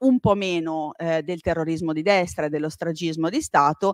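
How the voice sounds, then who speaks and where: A woman talks at a moderate pace with a fairly low pitch. The sound is dry and close with no echo, and the background is quiet. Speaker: history professor. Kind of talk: lecture. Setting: library lecture hall with live audience. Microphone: uses microphone, initially too quiet.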